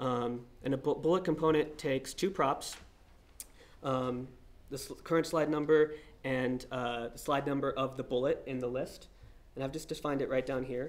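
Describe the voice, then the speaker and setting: This man's intonation is fairly even. His pitch sits fairly high. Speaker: software developer presenting at a meetup. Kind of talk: technical talk with live coding demo. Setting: meetup presentation with live audience. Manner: fast; many fillers and false starts.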